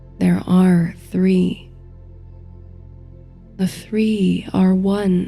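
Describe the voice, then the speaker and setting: A woman at a very slow pace, with music in the background. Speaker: sleep story narrator and meditation guide. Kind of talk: sleep story, guided meditation narration. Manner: soft, slow, calming.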